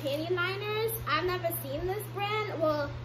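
The speaker keeps a moderate pace while noticeable background noise runs underneath. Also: woman. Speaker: haul vlogger. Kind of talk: casual vlog chat. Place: home room. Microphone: phone near.

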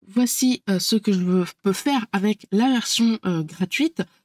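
At a very slow pace, a woman speaks with ordinary pitch variation. The recording is very clean with a silent background, and the sound is dry and close with no echo. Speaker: productivity tool tutorial creator. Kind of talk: screen-share tutorial. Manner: hesitant, many filler sounds.

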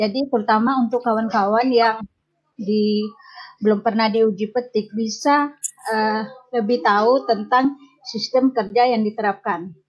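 A woman with a fairly high pitch speaks in an unremarkable speaking voice at a fairly slow pace. Her loudness stays very even, her intonation is fairly even, and the background is quiet. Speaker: family planning field educator. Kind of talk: meeting feedback. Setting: video call. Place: home room. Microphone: video call.

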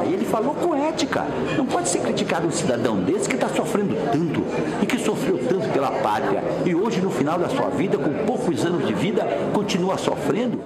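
Loud background noise surrounds a man who speaks at a fairly quick pace. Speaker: senator. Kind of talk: interview answer. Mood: indignant, defending someone. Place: office.

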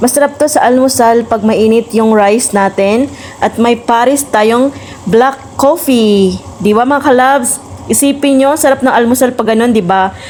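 A woman with a Visayan accent speaks at a high pitch and fairly slow pace, with ordinary pitch variation, very even loudness and noticeable background noise. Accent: Visayan accent in Tagalog. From Visayas, Philippines. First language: Cebuano (Bisaya) (speaking Tagalog). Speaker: cooking vlogger. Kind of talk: cooking tutorial vlog. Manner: casual, with fillers.

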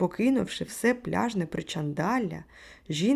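The text is read aloud in a natural voice with lively intonation.

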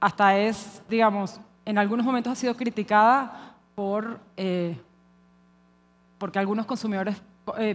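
With a Venezuelan accent, the speaker goes at a fairly slow pace with fairly even intonation and long, frequent pauses. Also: woman, fairly high pitch for a woman. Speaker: conference speaker. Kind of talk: conference talk. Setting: stage with audience. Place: hall. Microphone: headset.

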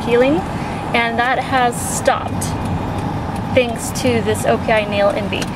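A woman is speaking through loud background noise. The sound is dry, with no echo. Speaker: beauty vlogger. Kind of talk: casual vlog chat. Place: car. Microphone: phone near.

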